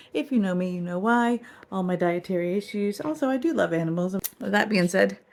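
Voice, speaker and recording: A woman talks at a fairly quick pace with lively intonation. Her pitch sits in the medium range. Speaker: vlogger. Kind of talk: casual vlog talk. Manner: fast.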